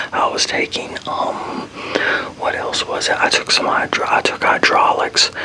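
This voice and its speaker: A man with an American accent whispers at a moderate pace. Noticeable background noise runs underneath. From Texas, Fort Worth. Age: 40s. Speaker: ASMR creator. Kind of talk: casual Q&A chat. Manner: whispering; rambling, self-correcting.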